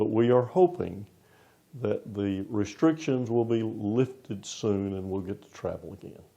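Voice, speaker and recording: A man speaks with a Southern US accent at medium pitch. His tone is dark and mellow. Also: ordinary pitch variation, fairly slow pace. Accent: Southern US accent noticeable. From US South, Florida. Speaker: interim pastor. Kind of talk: interview.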